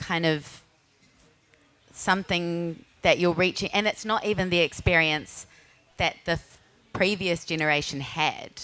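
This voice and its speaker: The speaker is a woman with a strong New Zealand accent. Her intonation is fairly even. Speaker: podcaster and writer. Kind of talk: panel discussion. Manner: deliberately slower; halting, many fillers.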